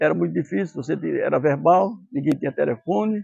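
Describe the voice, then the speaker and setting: A man speaks with very wide pitch swings. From Araçá, Extremoz, Rio Grande do Norte, northeast Brazil. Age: 70s. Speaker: elderly parishioner. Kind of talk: testimony. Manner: halting.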